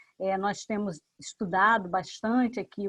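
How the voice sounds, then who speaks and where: A woman's normal speaking voice, medium in pitch with fairly even intonation, in a dry, close sound with no echo. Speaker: professor, event moderator. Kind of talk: formal seminar opening.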